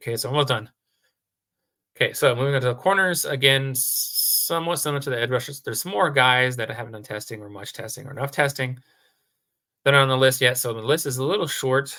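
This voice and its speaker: Bright and sharp in tone, a man talks at a very fast pace. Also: medium pitch for a man, ordinary pitch variation, big swings in loudness. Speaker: sports video blogger. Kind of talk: solo commentary video. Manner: halting, many fillers.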